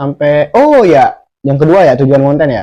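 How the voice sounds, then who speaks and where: Swinging very widely in pitch, a man with a slight Javanese accent talks in a fairly high, dark, mellow voice. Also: dry, close sound with no echo. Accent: slight Javanese accent picked up. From Sumatra, Indonesia (village). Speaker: vlogger. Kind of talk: casual vlog monologue. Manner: halting, stumbling.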